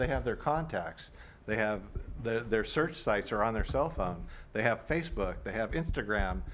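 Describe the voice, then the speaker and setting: Lively intonation and vocal fry mark this man's voice at a moderate pace. Light background noise sits behind him. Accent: American. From Oakland, California; California. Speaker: local party official; panelist on political commentary show. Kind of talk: panel discussion; political commentary discussion. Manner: halting with repetitions. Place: studio.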